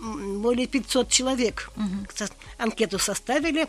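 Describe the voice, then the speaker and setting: With a high pitch and ordinary pitch variation, a woman speaks at a fairly slow pace. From Tatarstan, Russia (grew up on the Kama). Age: 80s+. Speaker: retired geologist. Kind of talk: casual interview.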